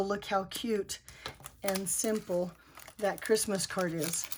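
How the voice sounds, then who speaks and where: Over noticeable background noise, a woman speaks very slowly at a medium pitch with ordinary pitch variation. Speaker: paper crafter. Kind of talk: craft tutorial talk to camera. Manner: casual, chatty.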